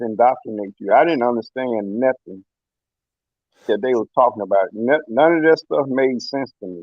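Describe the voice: At a moderate pace, a man speaks at medium pitch with ordinary pitch variation, and the sound is dry and close with no echo.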